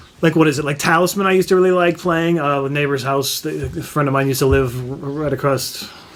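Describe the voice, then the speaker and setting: Over noticeable background noise, a man talks very fast at a fairly high pitch with fairly even intonation. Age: 40s. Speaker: board game youtuber. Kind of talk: casual chat.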